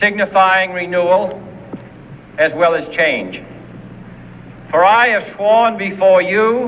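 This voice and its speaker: Speaking very slowly in an American accent, a man with a high pitch leaves long, frequent pauses over noticeable background noise. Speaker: politician. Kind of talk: political speech. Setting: outdoors. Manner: measured, with deliberate pauses.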